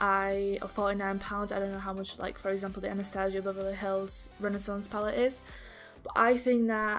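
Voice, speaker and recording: Music plays in the background as a woman speaks. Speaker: beauty vlogger. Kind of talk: casual talk to camera.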